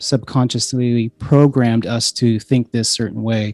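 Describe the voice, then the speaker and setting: A man's medium-pitched voice at a moderate pace, dry and close with no echo, with music in the background. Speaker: podcast host. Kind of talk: podcast intro monologue. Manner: hesitant, many fillers; quiet.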